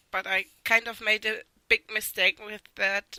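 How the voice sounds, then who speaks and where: A woman speaks with a non-native accent in a monotone, flat intonation. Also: dry, close sound with no echo. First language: not English. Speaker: artist. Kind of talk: art critique voice-over. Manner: hesitant.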